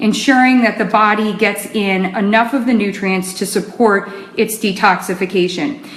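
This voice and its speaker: Noticeable background noise accompanies a woman whose pitch is fairly high. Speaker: nutrition expert. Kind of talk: live stream talk. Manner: fast.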